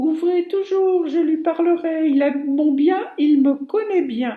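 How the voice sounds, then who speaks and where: In a put-on character voice, a woman talks fairly slowly at an extremely high pitch. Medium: read story.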